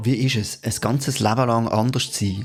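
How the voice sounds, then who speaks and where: A man speaks fairly quickly in a monotone, flat intonation. Music plays in the background. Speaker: podcast host. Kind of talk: podcast introduction.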